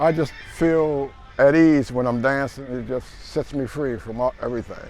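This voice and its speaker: Over music in the background, a man with a fairly high voice speaks at a moderate pace with fairly even intonation. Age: 60s. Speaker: park dancer, retired city worker. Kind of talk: interview.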